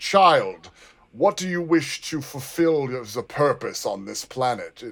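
A man's put-on character voice, fairly high and solemn in tone, at a fairly slow pace with big swings in loudness. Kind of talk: archaic, formal. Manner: solemn, formal, grandiose.

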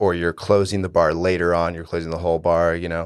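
Quiet surroundings and a man with an American accent. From Florida panhandle. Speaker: bartender. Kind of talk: casual chat.

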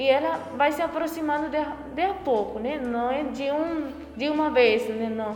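A woman talks at a fairly slow pace with ordinary pitch variation. Noticeable background noise and audible room echo are present. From rural Paraguay. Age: 20s. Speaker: novice nun. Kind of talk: interview testimony.

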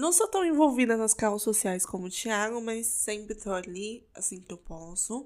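A woman speaks with an ordinary speaking voice at a moderate pace, with hardly any pauses. Her pitch is fairly high and her intonation lively. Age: 20s. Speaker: podcast co-host, pharmacy student. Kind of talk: casual chat.

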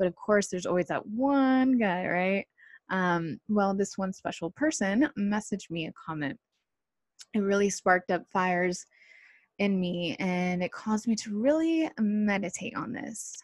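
A somewhat breathy woman with an American accent, at a fairly slow pace with lively intonation, over a quiet background. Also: medium pitch for a woman, dry, close sound with no echo. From Southern California. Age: 30s. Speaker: podcast host. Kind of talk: solo podcast monologue. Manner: casual, hesitant with fillers.

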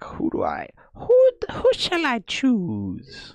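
A man uses a put-on character voice pitched extremely high. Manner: slow, grand, wise, pondering.

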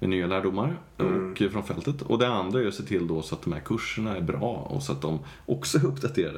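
A man's very deep, low voice with very wide pitch swings at a fairly quick pace. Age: 40s. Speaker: agile coach and trainer. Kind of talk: casual chat.

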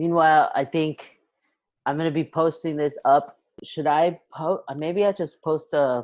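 A man with a plain, everyday voice, fairly high pitch and fairly even intonation, speaking at a fairly slow pace against a quiet background. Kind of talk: casual chat. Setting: video call. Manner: casual, joking.

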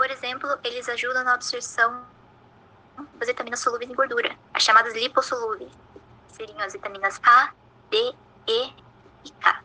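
A high-pitched woman at a moderate pace, with fairly even intonation and long, frequent pauses. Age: 20s. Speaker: nutrition student, podcast co-host. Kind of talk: scripted educational explanation.

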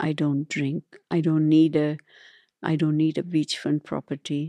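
At a fairly slow pace, a woman speaks with a Tamil accent in a very deep, low pitch. Her tone is dark and mellow, the sound dry and close with no echo. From India. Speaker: neurologist. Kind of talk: interview. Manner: halting.

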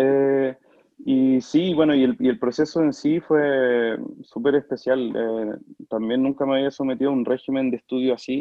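A man with a normal speaking voice talks at a medium pitch and a fairly slow pace, keeping his intonation fairly even. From Chile, Talca. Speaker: opera singer. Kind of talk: casual interview.

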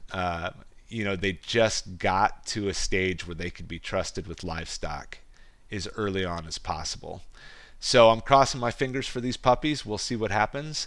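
Over a silent background in a very clean recording, a man with a Midwestern US accent talks in a fairly low pitch, his intonation lively and his loudness swinging widely. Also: moderate pace. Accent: US Midwest. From rural Iowa. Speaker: podcast host and goat farmer. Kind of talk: casual monologue.

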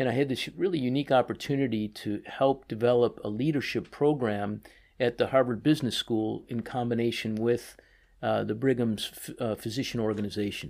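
A normal speaking voice with an American accent, fairly quick pace and fairly even intonation, on a very clean recording with a silent background. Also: man, medium pitch for a man. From US Midwest (Chicago). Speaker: orthopedic surgeon, department chief. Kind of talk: interview.

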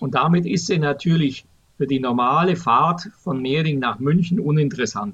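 Speaking at a moderate pace, a man uses an unremarkable speaking voice, fairly high in pitch, with lively intonation. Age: 60s. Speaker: public transport expert, retired transit executive. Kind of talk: podcast interview. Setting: remote recording.

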